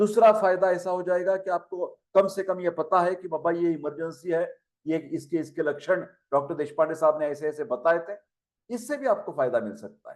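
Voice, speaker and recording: A man speaks at a moderate pace in a high pitch with ordinary pitch variation and big swings in loudness. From Maharashtra, India. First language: Marathi (speaking Hindi). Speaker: Ayurveda professor. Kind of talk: lecture. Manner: conversational, Hindi-English mixed.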